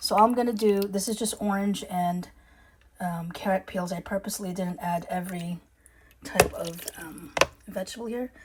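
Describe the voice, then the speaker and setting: Amid noticeable background noise, a woman at medium pitch speaks at a moderate pace with fairly even intonation and big swings in loudness. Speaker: urban homesteading vlogger. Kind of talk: casual vlog talk to camera. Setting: home kitchen.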